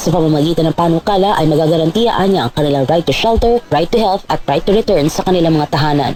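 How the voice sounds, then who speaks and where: Over noticeable background noise, a woman speaks very fast and at a fairly low pitch with hardly any pauses, ordinary pitch variation and very even loudness. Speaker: radio news reporter. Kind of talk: radio news report.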